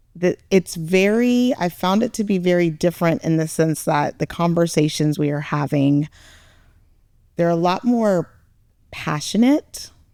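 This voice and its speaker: Very slowly and with lively intonation, a woman speaks at a fairly low pitch in a dark, mellow tone, the sound dry and close with no echo on a very clean recording with a silent background. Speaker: parent, podcast co-guest. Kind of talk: podcast discussion. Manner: loud.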